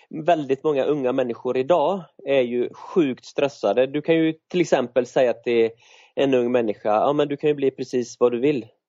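This man's delivery is fairly slow. He varies his pitch in an ordinary way. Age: 40s. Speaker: runner and author. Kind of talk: interview conversation. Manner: halting, with many fillers and repeats.

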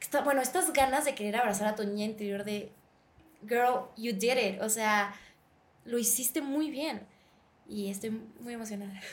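A woman speaks at a fairly high pitch, somewhat breathy, with ordinary pitch variation. Long, frequent pauses break up her speech, and room echo is audible. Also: moderate pace. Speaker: actress. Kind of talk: interview.

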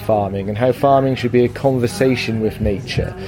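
Over noticeable background noise, a man with a medium-pitched voice speaks with fairly even intonation. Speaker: festival organiser. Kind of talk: interview answers.

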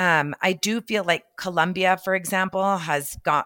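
With an American accent, the voice carries a bright, sharp tone in a very clean, dry recording that is close, with no echo and a silent background. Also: woman. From Texas, El Paso. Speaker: fashion magazine editor. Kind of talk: interview. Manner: casual, many fillers.

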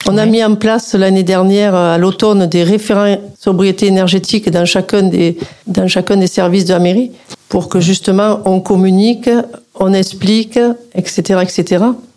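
With noticeable background noise behind her, a woman at medium pitch speaks fairly slowly in a monotone, flat way at very even loudness. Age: 60s. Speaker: local politician. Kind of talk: radio interview. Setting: studio.

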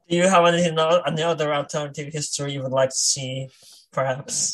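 Breathing out a somewhat breathy, fairly high voice, a man talks at a very fast pace with fairly even intonation. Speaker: podcast host. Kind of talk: casual chat.

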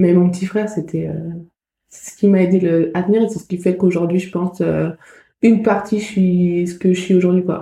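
A woman's somewhat breathy voice with a dark, mellow tone and medium pitch, flat and monotone, at a moderate pace with long, frequent pauses and big swings in loudness. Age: 20s. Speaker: former cancer patient and volunteer. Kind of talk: testimony. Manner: halting.

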